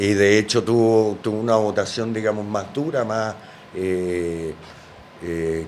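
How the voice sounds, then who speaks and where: A man's fairly low voice, fairly even in intonation, at a fairly slow pace. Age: 60s. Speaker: politician. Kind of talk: interview. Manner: halting, many fillers.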